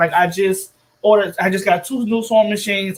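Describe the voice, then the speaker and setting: At a moderate pace, a woman talks at a medium pitch with fairly even intonation. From Texas, Dallas area. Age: 30s. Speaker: nonprofit founder. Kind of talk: interview.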